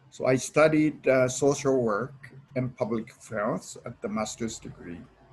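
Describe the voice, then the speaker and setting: Somewhat breathy, a man speaks at a moderate pace with big swings in loudness. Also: medium pitch for a man, ordinary pitch variation. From Japan, Okinawa. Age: 70s. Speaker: lecturer. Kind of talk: lecture. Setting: online presentation with slides. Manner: halting, many fillers.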